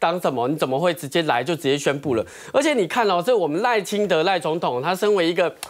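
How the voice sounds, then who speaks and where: A man at a very fast pace, against a quiet background. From Taiwan. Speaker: talk show commentator. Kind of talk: TV panel discussion. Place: studio. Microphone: lapel.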